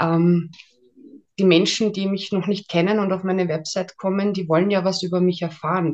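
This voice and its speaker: Her intonation fairly even and her pitch fairly low, a woman uses an unremarkable speaking voice at a moderate pace. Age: 30s. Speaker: ghostwriter and mental trainer. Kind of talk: interview.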